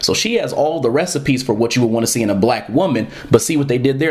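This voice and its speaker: A man speaks at a very fast pace with ordinary pitch variation. Noticeable background noise runs underneath. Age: 30s. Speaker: podcast host and comic creator. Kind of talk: solo commentary podcast.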